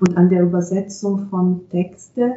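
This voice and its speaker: A woman speaks at a fairly slow pace in an Italian accent. Noticeable background noise runs under her voice. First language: Italian (speaking German). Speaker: translator and interpreter. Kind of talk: interview.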